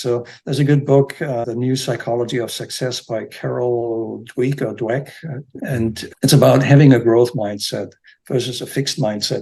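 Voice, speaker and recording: At a moderate pace, a man with a medium pitch speaks in a dark, mellow, somewhat breathy tone with ordinary pitch variation. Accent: German. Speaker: real estate agency founder. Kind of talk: podcast interview. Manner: halting, with repetitions and fillers.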